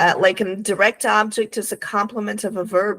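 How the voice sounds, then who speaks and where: A woman's bright, sharp tone with a Portuguese accent on a very clean recording with a silent background. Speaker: English teacher. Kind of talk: conversational English lesson.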